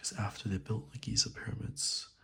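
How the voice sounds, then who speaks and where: Soft-spoken, a man talks with lively intonation. Vocal fry creeps into his voice. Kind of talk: soft-spoken ASMR reading.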